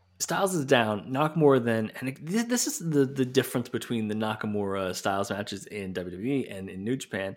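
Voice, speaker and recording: A man's normal speaking voice, medium in pitch, with lively intonation at a fairly quick pace. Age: 30s. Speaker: wrestling podcast host. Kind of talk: casual chat.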